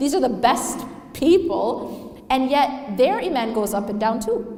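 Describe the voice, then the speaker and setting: High-pitched female speech amid noticeable background noise. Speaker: Islamic lecturer. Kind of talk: Islamic lecture / reminder. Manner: conversational, rhetorical questions to audience.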